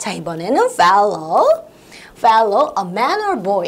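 A woman speaks with very wide pitch swings. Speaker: English teacher. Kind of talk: lecture. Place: studio. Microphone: lapel.

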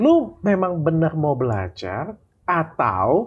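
A man's voice with very wide pitch swings. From Indonesia. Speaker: host interviewer. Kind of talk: casual interview chat. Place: home room. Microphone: lapel.

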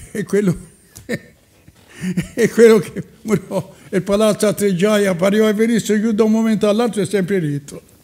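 This voice has a dark, mellow tone and fairly even intonation. It moves at a moderate pace with long, frequent pauses. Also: man, high pitch for a man. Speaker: elderly local storyteller. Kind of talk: reminiscing casual chat.

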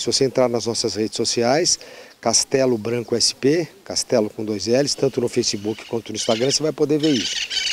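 At a moderate pace and with ordinary pitch variation, a man talks in a dry sound with no echo. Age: 60. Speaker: politician. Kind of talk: interview. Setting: outdoors on a farm. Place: farm. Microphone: handheld.

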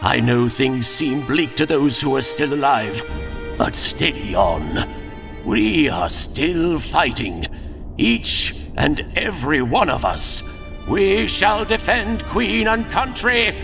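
A man talks at a fairly slow pace while loud music fills the background. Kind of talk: comic parody dub. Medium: fan dub. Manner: stiff-upper-lip, polite, defiant.

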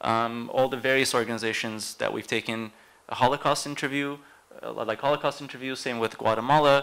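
A man speaks at a fairly quick pace in a bright, sharp tone with fairly even intonation. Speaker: archive project specialist; panelist. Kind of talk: panel presentation. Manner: halting. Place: hall.

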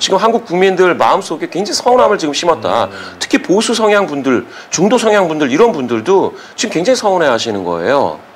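The pitch swings very widely at a fairly quick pace. Light background noise sits behind the voice. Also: man, high pitch for a man. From South Korea. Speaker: polling and data analyst; data analyst. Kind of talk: political commentary interview. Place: studio.

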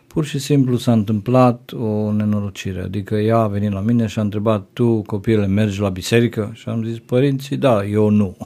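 A man speaks at a moderate pace with hardly any pauses and fairly even intonation. His voice has a fairly low pitch and a dark, mellow tone. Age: 50s. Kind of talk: interview testimony.

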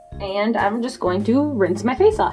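Music plays in the background. Over it, a woman speaks with a fairly high pitch. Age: 20s. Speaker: self-taught makeup artist. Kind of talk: casual vlog talk to camera.

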